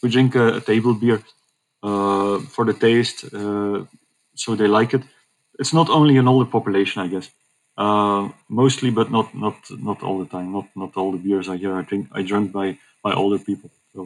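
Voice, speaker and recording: With a Dutch accent, a man speaks at a moderate pace in a fairly low pitch. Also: ordinary pitch variation. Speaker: hospital communications manager. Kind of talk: interview.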